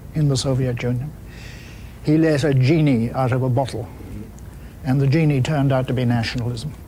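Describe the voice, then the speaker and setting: A man with an Irish accent speaks in fairly even intonation amid noticeable background noise and audible room echo. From Ireland. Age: 70s. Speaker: public intellectual, discussion moderator. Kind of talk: panel discussion.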